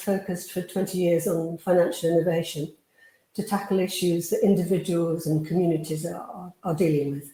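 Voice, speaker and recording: Speaking fairly quickly in a British accent, a woman has a medium pitch, ordinary pitch variation and a dark, mellow, somewhat breathy tone. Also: big swings in loudness. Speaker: housing charity leader. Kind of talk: conference presentation.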